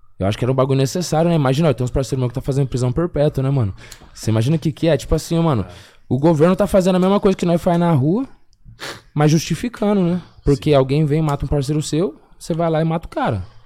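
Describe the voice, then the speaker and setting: A man's very fast, fairly high-pitched speech with lively intonation and a dark, mellow tone, on a very clean recording with a silent background. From Paraná, Brazil (Biporã, near Londrina). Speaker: rapper. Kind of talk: casual chat.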